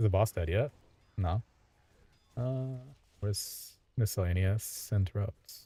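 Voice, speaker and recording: A somewhat breathy voice with a dark, mellow tone speaks fairly slowly, with ordinary pitch variation and long, frequent pauses. The sound is dry and close with no echo, in a very clean recording with a silent background. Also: man, fairly low pitch for a man. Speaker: streamer and raid tank. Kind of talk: casual chat while gaming.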